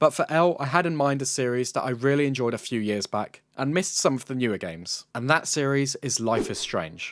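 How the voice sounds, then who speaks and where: A man speaks with a British accent at a fairly quick pace. His pitch is fairly high and varies in an ordinary way. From UK. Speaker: gaming YouTuber. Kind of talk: video game commentary narration.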